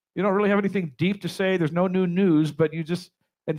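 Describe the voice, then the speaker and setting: Talking at a very fast pace, a man with an American accent has a high pitch. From Compton, Los Angeles, US. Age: 60s. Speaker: drummer and author. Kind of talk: motivational talk. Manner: animated.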